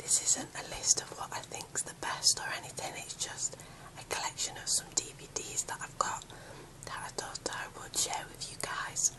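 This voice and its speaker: Noticeable background noise sits under a whisper that moves at a fairly slow pace. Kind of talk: ASMR whisper talk to camera. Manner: whispered.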